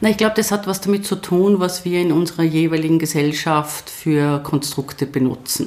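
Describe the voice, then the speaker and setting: With a slight Tyrolean accent, a woman speaks at a fairly low pitch with hardly any pauses, very even loudness and ordinary pitch variation, while noticeable background noise plays behind her. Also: moderate pace. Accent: slight Tyrolean intonation. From Tyrol, Austria. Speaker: university rector and professor. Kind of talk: interview.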